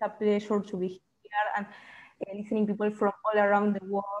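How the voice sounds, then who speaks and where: Her pitch is medium, and the woman talks at a moderate speed. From Uruguay. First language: Spanish. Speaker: student activist. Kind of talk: open mic sharing in online workshop. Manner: halting.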